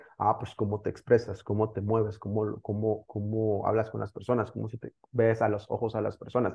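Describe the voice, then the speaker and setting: With music in the background, a man with a fairly low pitch speaks in a monotone, flat intonation at a moderate pace, with hardly any pauses. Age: 30s. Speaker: digital entrepreneur. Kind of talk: interview.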